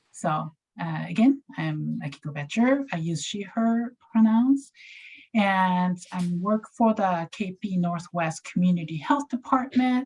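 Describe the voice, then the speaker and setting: Somewhat breathy speech in a Japanese accent comes at a fairly slow pace. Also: woman, medium pitch for a woman, lively intonation. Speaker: community health grant staff. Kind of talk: informational presentation. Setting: video call. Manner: halting.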